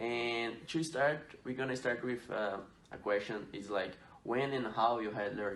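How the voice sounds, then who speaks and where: There is audible room echo as a man with a Portuguese accent speaks slowly at a fairly low pitch, his pitch variation ordinary. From Brazil. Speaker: student athlete podcast host. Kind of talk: student podcast interview.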